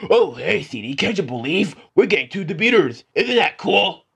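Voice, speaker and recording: A man performs a put-on character voice at a high pitch. He keeps a moderate pace. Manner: mocking, exaggerated cheery.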